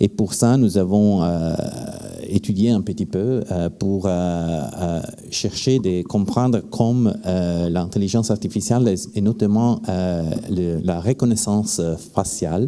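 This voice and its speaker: At a fairly slow pace, a man with a non-native accent speaks in a fairly low pitch. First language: not French (speaking French). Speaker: activist, campaigner. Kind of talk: panel discussion. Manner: slow, careful.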